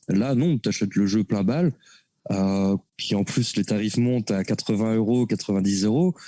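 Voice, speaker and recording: A man's fairly low, dark, mellow voice at a moderate pace, with ordinary pitch variation and very even loudness, in a very clean recording with a silent background and a dry, close sound free of echo. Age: 30s. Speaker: NFT artist. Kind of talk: casual interview chat.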